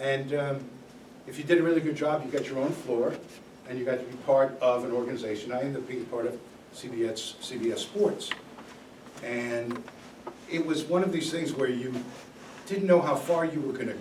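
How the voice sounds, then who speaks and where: With an American accent and a fairly high pitch, a man talks at a moderate pace with ordinary pitch variation and long, frequent pauses, amid noticeable background noise and audible room echo. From New York City. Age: 70s. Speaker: guest speaker, former TV sports executive. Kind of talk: talk to college class.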